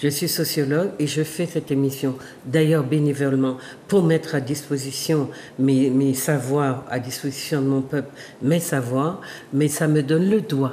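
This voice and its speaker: At a fairly slow pace, a woman talks with very deep, low pitch, fairly even intonation and very even loudness. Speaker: sociologist and talk show host. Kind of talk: monologue to viewers. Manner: halting.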